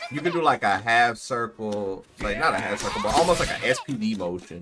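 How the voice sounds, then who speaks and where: In an American accent, a man speaks with an unremarkable speaking voice at medium pitch. His intonation is lively and his pace fairly quick. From Texas. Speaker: fighting game streamer. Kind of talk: casual livestream commentary while playing. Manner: casual, conversational.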